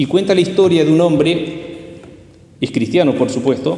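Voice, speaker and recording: A man with ordinary pitch variation, with audible room echo and noticeable background noise. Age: 60s. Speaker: lay preacher. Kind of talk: sermon.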